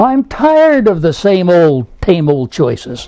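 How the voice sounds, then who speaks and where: Noticeable background noise sits under speech that moves at a very slow pace. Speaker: storybook reader. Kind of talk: children's storybook reading.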